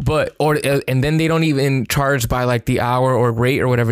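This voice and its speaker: At a fairly quick pace, a man speaks in a plain, everyday voice of medium pitch with fairly even intonation, recorded with a dry, close sound and no echo. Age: 30s. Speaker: freelance videographer. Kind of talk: casual chat.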